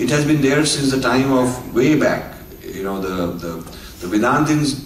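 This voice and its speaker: A man's moderately paced speech carries lively intonation, with audible room echo and noticeable background noise around it. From India. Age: 60s. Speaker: author and speaker. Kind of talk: lecture. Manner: halting with filler words.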